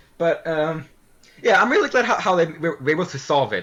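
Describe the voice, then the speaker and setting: Lively in intonation, the delivery rushes along very fast. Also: man. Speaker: podcast host. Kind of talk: casual chat; scripted narration. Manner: stuttering; halting.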